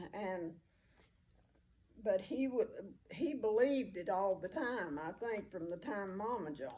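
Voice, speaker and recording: A woman with a Southern US accent speaks at a fairly slow pace with long, frequent pauses, using a medium pitch, a dark, mellow tone and lively intonation. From US South, rural mountain area. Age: 80s+. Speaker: oral history interviewee. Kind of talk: personal reminiscence interview. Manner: halting, many fillers.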